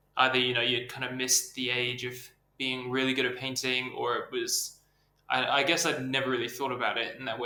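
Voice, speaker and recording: With an American accent, a man speaks at medium pitch and a fairly quick pace in monotone, flat intonation, with audible room echo. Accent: English with slight American twang. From England. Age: 20s. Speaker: artist. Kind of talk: interview. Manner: hesitant, filler-heavy.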